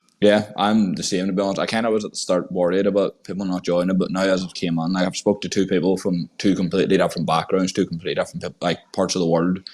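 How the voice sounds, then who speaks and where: A man's very deep, low voice, flat and monotone, at a very fast pace with hardly any pauses. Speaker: podcast host. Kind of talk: casual chat. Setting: online audio space recording.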